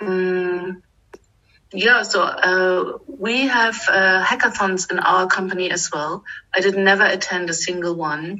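This woman has a German accent and a medium pitch. She talks at a very slow pace with fairly even intonation. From eastern Germany. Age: 40s. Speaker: finance manager. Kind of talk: interview. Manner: hesitant, many fillers.

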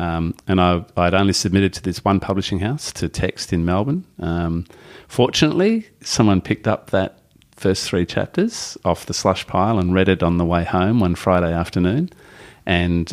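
A man with an Australian accent speaks in a very deep, low pitch with fairly even intonation. The recording is very clean, with a silent background. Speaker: novelist and former teacher. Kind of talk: casual interview. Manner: halting.

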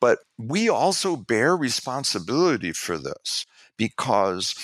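With vocal fry and an American accent, a man speaks fairly slowly with very wide pitch swings, in a very clean recording with a silent background and a dry, close sound with no echo. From New York City. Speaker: public relations executive and activist. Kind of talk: interview.

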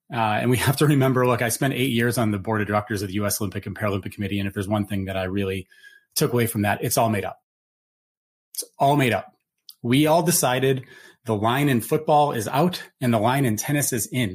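At a very fast pace, a man with a somewhat breathy, medium-pitched voice speaks with ordinary pitch variation on a very clean recording with a silent background. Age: 40s. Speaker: Olympic gold medalist and nonprofit CEO. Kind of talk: panel discussion.

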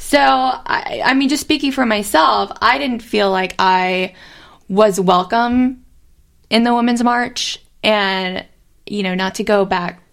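A woman talks in a normal speaking voice. Her pace is fairly slow, with ordinary pitch variation. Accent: American. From South Carolina. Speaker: podcast co-host. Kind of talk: casual chat.

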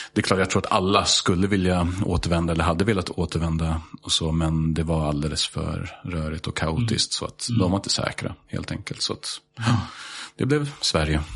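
Over noticeable background noise, a man with an English accent speaks at a fairly quick pace in a very deep, low pitch with ordinary pitch variation. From Sweden, Stockholm. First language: English (speaking Swedish). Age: 30s. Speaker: high school teacher. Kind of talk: casual chat.

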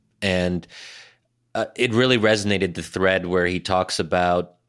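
Very deep and low in pitch, a man talks with fairly even intonation. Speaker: podcast co-host. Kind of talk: casual chat. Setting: remote video call.

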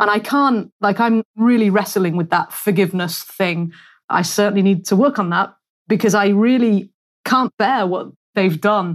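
A woman speaks with a British accent against a quiet background. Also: medium pitch for a woman, ordinary pitch variation, moderate pace. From United Kingdom. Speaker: podcast host. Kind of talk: casual interview chat. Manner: animated, chatty.

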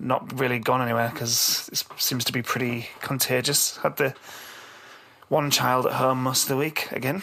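A man's croaky voice with vocal fry, a bright, sharp tone and little pitch movement. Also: medium pitch for a man, moderate pace.

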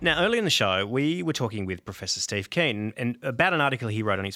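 A man with an Australian accent, fairly low in pitch and bright, sharp in tone, talking at a very fast pace on a very clean recording with a silent background. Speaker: comedy podcast host. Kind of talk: satirical comedy podcast chat. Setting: studio.

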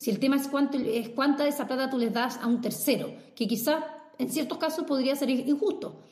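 Amid audible room echo, a high-pitched woman talks at a fairly quick pace with lively intonation. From Brazil. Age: 30s. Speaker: startup consultant. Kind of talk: casual interview.

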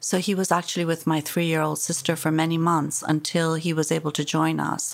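At a moderate pace, the voice comes through in a very clean recording with a silent background. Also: woman. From Iran. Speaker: human rights activist. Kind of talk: interview. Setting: office. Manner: forceful.

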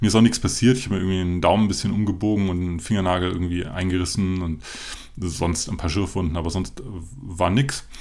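In a room with audible echo, a man with a very deep, low pitch speaks at a very fast pace with ordinary pitch variation. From Germany. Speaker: podcast host, running brand founder. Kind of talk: solo podcast monologue. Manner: frequent filler hesitations; unscripted, loose.

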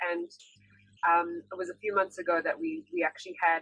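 A woman speaks at a fairly quick pace. She has a South African accent. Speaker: singer-songwriter. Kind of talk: casual interview. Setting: video call.

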